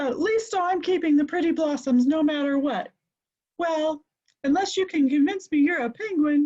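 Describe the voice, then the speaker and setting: A woman uses a loud, squeaky put-on character voice pitched high. She speaks at a moderate pace. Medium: read story. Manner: loud, bossy.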